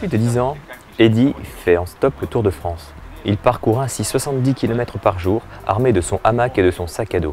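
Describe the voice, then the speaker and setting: Music plays behind a man speaking at a moderate pace. His pitch is medium, and his intonation is lively. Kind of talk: local news voice-over.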